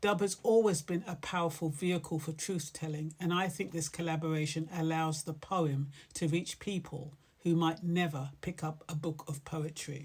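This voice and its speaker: A woman's very deep, low voice, somewhat breathy, with fairly even intonation at a moderate pace. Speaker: poet. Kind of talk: casual talk introducing a poem.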